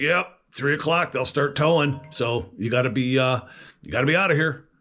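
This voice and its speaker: Shouting in a put-on character voice that is gruff, raspy and fairly high, a man goes at a moderate pace with ordinary pitch variation as faint music plays in the background. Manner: yelling, gruff.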